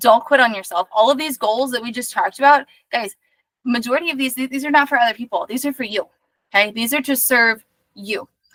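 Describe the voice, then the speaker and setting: Here a woman talks at a very fast pace in a high pitch, with ordinary pitch variation. The recording sounds dry and close, with no echo. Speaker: life coach. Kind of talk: recorded workshop talk. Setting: recording sent to inbox. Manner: animated.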